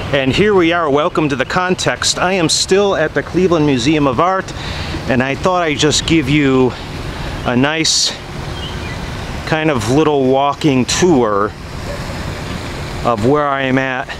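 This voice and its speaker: A man speaks with ordinary pitch variation and long, frequent pauses. The sound is dry with no echo, though background noise is noticeable. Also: fairly slow pace. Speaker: vlogger giving a walking tour. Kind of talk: casual vlog chat. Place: street. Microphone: phone near.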